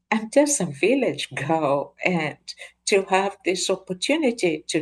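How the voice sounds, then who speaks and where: A woman speaks at a medium pitch with a Kenyan accent. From rural Kenya. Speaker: professor, guest. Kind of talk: interview conversation.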